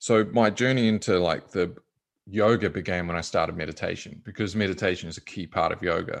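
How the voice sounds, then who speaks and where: The speaker has a New Zealand accent and a fairly quick pace with ordinary pitch variation. The background is quiet. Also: man, fairly low pitch for a man. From New Zealand, small rural town. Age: 30s. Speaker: meditation and yoga teacher. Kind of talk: interview. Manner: casual, halting with fillers.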